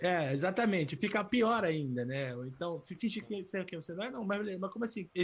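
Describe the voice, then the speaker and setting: Barely pausing, a man talks at a high pitch with lively intonation. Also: moderate pace. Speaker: podcast host. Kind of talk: casual chat. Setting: video podcast with camera. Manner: talkative.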